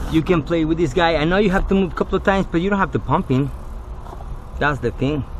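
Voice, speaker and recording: Against noticeable background noise, a man with a non-native accent speaks at a high pitch. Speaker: auto glass technician. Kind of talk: tutorial. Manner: casual.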